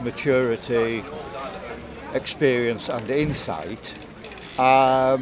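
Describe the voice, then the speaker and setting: A man speaks at a medium pitch and a very slow pace. Background noise is noticeable. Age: 70s. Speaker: local voter. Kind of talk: casual chat. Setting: outdoor market. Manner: halting.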